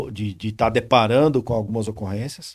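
This is a man speaking. The background is quiet. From São Paulo state, Vale do Paraíba; São Paulo, Brazil. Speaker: military police lieutenant colonel; guest. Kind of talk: interview. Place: studio. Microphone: studio mic.

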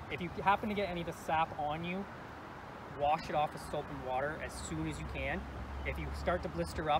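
A man talks at a fairly quick pace, the sound dry with no echo. Background noise is noticeable. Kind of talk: informational safety talk. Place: open country.

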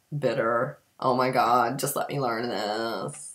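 A woman talks at a very slow pace with fairly even intonation. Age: 50s. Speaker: community theatre actor. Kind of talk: casual talk to camera. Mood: wry, self-mocking. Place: kitchen. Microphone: webcam.

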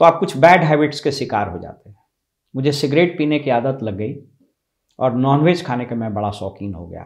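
A man's fairly high voice at a moderate pace, with lively intonation, big swings in loudness and a quiet background. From Bihar, India (Dhanbad area, Nalanda roots); Bihar, India. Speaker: motivational speaker. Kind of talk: motivational talk. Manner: formal. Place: office. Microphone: lapel.

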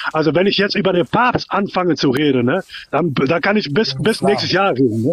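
Speaking at a fairly quick pace, a man with a high pitch keeps his loudness very even while his intonation stays lively. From outside Germany. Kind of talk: heated debate.

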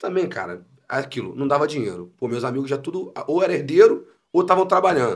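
Against a quiet background, a man talks at a very fast pace with lively intonation and vocal fry. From Niterói / São Gonçalo, Rio de Janeiro state, Brazil; Rio de Janeiro state, Brazil. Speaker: comedian and musician; comedian. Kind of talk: casual chat. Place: studio. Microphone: studio mic.

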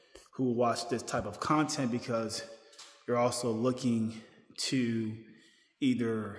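A man talks at a very slow pace. Music plays in the background and the room echo is audible. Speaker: vlogger. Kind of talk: casual vlog chat. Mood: reassuring, relaxed. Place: gym. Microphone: phone near.

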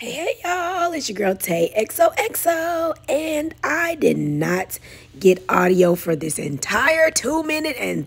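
Fairly slow speech from a woman, with clearly audible noise in the background. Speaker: lifestyle vlogger. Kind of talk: casual vlog chat; voiceover vlog narration. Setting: mall. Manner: casual, chatty.

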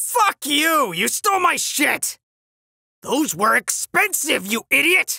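Using a put-on character voice, the speaker talks at a fairly slow pace in a high pitch with very wide pitch swings. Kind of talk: comic dub. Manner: angry, shouting.

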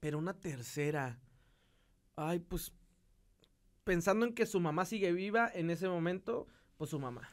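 A man's high voice with a northern Mexican accent, ordinary pitch variation, a fairly slow pace and long, frequent pauses. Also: quiet background. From northeastern Mexico. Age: 20s. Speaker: podcast guest, engaged partner; podcast guest. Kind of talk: casual chat. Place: studio. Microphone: studio mic.

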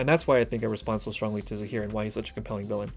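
A man talks with faint music in the background. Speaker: reaction video host. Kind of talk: reaction commentary. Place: home room.

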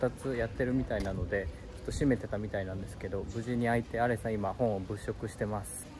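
Music plays in the background while a man speaks at a very fast pace. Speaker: vlogger. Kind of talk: casual vlog chat. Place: street. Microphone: phone near.

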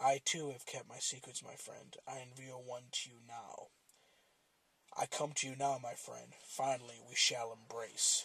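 A man puts on a character voice, speaking quietly at a moderate pace. His pitch is medium for a man. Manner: quiet, grave, tender yet ominous.

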